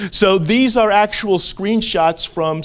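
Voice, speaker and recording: Over noticeable background noise, a man with an American accent speaks at a very slow pace. His voice is high. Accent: Staten Island accent, comes out when excited. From Staten Island, New York. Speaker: amateur radio operator and school board member. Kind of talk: conference presentation.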